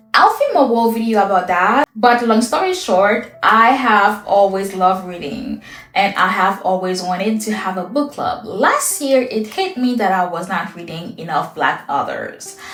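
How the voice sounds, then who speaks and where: Over noticeable background noise and audible room echo, a woman talks at a moderate pace. Her fairly high voice has ordinary pitch variation. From Haiti. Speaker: lifestyle content creator. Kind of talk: get-to-know-me Q&A monologue.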